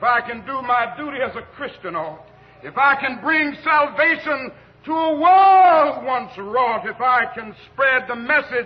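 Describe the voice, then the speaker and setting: In a Southern US accent, a man speaks at a very slow pace with an extremely high pitch and lively intonation. His tone is solemn. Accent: Southern American. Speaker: Baptist preacher. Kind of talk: church sermon delivered to a congregation. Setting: church, live congregation recording. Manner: solemn, cadenced, rhetorical.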